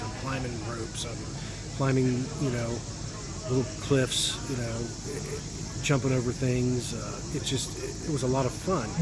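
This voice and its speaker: A man's medium-pitched, monotone voice amid noticeable background noise and audible room echo. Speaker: travel vlogger. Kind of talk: casual vlog monologue. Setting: outdoors at a festival. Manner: hesitant with fillers.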